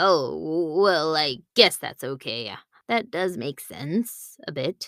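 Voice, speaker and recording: A put-on character voice sits at a middle pitch and goes at a very slow pace. The recording is very clean and the background silent. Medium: read story. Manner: hesitant, wary.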